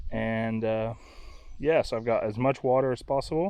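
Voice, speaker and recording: Using an unremarkable speaking voice, a man delivers his words at a medium pitch and a moderate tempo. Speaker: kayaker vlogger. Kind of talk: vlog. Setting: outdoors.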